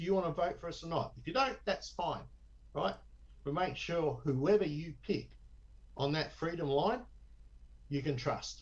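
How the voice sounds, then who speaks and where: Someone with an Australian accent speaks at a moderate pace, leaving long, frequent pauses. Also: man. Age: 60s. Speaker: election candidate. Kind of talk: interview. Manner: animated.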